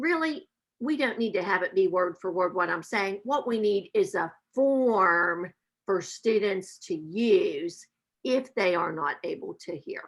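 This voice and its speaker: A woman with an Appalachian accent, medium in pitch, with lively intonation at a fairly slow pace. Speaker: math professor. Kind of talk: webinar presentation.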